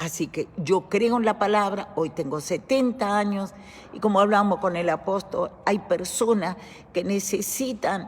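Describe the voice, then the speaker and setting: Noticeable background noise sits behind a voice moving at a fairly slow pace with ordinary pitch variation. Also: woman, medium pitch for a woman. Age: 70s. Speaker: church teacher. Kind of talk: bible study teaching. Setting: church.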